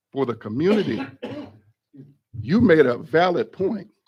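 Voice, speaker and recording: With an American accent, a man talks at a moderate pace, his pitch swinging very widely. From Michigan, local township area. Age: 60s. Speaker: pastor speaking at public comment. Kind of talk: public comment at township board meeting. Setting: public board meeting room.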